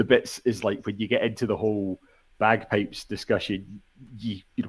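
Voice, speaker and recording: With a fairly low pitch, a man talks at a moderate pace in a monotone, flat intonation. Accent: Scottish. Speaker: podcast guest. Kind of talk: casual chat.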